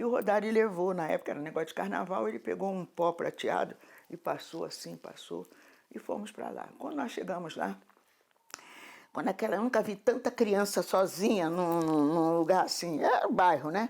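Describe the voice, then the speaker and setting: Vocal fry runs through this woman's voice. She talks at a moderate pace with lively intonation. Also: medium pitch for a woman. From Rio de Janeiro, Brazil. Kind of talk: oral history interview. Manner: halting, with repetitions.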